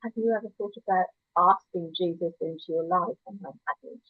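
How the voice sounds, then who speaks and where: A woman speaks at a moderate pace. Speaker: church member sharing her life story. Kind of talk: testimony.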